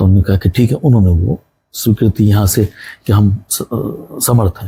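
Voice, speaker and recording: Dry and close with no echo, a man's somewhat breathy voice has a dark, mellow tone and ordinary pitch variation. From Rajasthan, India. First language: Punjabi (speaking Hindi). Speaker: retired radio broadcaster. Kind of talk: interview.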